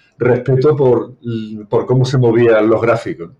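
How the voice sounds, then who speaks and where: Speaking at a fairly slow pace, a man with an Andalusian accent keeps his intonation fairly even. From Seville, Andalusia, Spain. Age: 60s. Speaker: retired banker. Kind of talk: interview.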